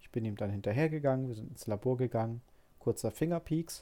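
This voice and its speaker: The tone is dark and mellow. The speech keeps a moderate pace with ordinary pitch variation. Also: man. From Hamburg, northern Germany. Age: 30s. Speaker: podcaster with diabetes. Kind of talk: personal storytelling monologue. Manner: hesitant, many filler sounds.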